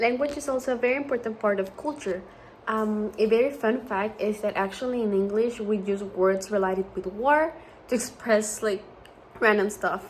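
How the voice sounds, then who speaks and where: This speaker talks with a Spanish accent at a moderate pace. The pitch varies in an ordinary way. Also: woman, fairly high pitch for a woman. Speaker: student. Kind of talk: class presentation.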